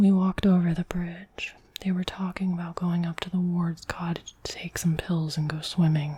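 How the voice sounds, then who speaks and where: A soft-spoken woman whispering at a moderate pace with hardly any pauses, over noticeable background noise. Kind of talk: ASMR book reading. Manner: soft-spoken, whispered.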